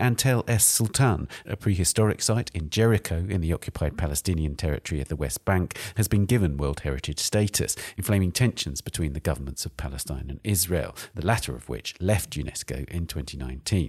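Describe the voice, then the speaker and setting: In a very clean recording with a silent background and a dry, close sound with no echo, a man speaks at a fairly quick pace with hardly any pauses, using a very deep, low voice with vocal fry and lively intonation. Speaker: arts podcast host. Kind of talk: scripted intro and interview. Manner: formal.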